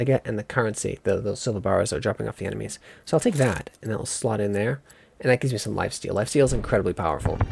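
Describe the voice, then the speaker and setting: A man talks at a very fast pace with vocal fry and ordinary pitch variation. The sound is dry and close, with no echo. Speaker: gaming video creator. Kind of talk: gameplay commentary. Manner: casual, halting with restarts.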